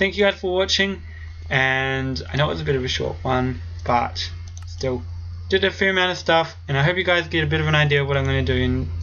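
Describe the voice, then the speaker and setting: A woman speaks very fast at a very deep, low pitch, her voice swinging very widely in pitch. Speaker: gaming youtuber. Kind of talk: gameplay commentary. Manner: animated.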